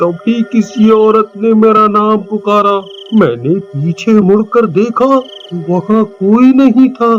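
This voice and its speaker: A man's put-on character voice, high-pitched, at a very slow pace, with fairly even intonation and very even loudness. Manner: panicked, stammering.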